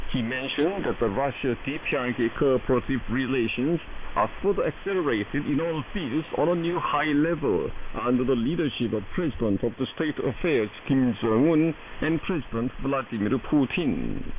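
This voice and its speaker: A fairly high-pitched male voice with ordinary pitch variation, very even loudness and a moderate pace, amid noticeable background noise. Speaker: shortwave radio news announcer. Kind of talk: state radio news broadcast. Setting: shortwave AM radio broadcast.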